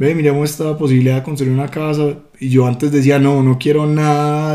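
Monotone, flat intonation marks this man's delivery. His dark, mellow tone moves at a fairly quick pace. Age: 20s. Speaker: host's fiancé. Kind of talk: casual chat. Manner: halting.

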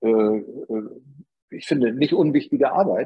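Someone speaks at a moderate pace with a northern German accent. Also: man. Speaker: advertising agency founder. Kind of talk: interview.

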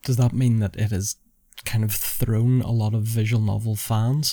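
A man speaks with a Northern Irish accent in a dark, mellow tone. The recording is very clean, with a silent background. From Northern Ireland. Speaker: podcast host. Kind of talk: interview.

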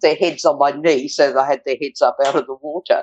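A woman speaks with an Australian accent. Her pace is fairly quick. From Australia, rural northern New South Wales. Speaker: retired hospital and blood bank worker. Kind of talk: interview storytelling. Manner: vibrant.

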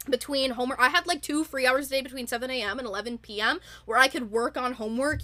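Enthusiastic in tone, the speaker moves at a fairly quick pace with ordinary pitch variation. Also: woman. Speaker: podcast host.

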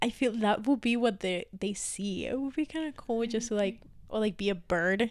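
A woman with a fairly high pitch and a Spanish accent. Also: ordinary pitch variation, moderate pace. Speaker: podcast co-host. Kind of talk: casual chat.

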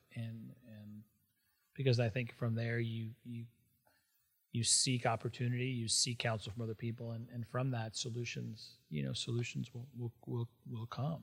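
The recording is very clean, with a silent background. A man talks at a medium pitch, somewhat breathy, with fairly even intonation. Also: moderate pace. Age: 50s. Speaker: civic entrepreneur and business executive. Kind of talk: interview conversation. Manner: halting, frequent repetitions.

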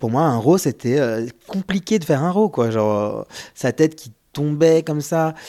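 At a fairly slow pace, a man with a fairly high pitch and a dark, mellow tone speaks with lively intonation and big swings in loudness. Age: 30s. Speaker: single father via surrogacy. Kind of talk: testimony.

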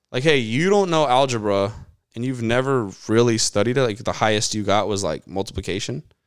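A man with an American accent, an ordinary speaking voice, medium in pitch, at a fairly quick pace, on a very clean recording with a silent background. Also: ordinary pitch variation. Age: 20s. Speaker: sports podcast co-host. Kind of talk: casual chat.

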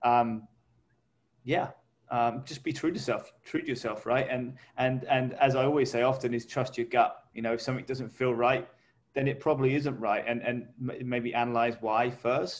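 At a moderate pace, a man with an English accent talks at medium pitch with fairly even intonation. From England. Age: 30s. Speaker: podcast co-host. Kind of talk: casual chat.

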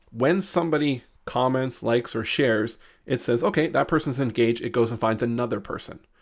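A man with an unremarkable speaking voice, medium in pitch with ordinary pitch variation, at a fairly quick pace, on a very clean recording with a silent background. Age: 30s. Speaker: marketing consultant. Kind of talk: interview.

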